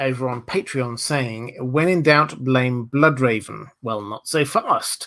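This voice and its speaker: With a Southern English accent, a man speaks at a medium pitch. His pitch varies in an ordinary way. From southern England, Hampshire. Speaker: YouTube lore commentator. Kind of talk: livestream Q&A. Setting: livestream.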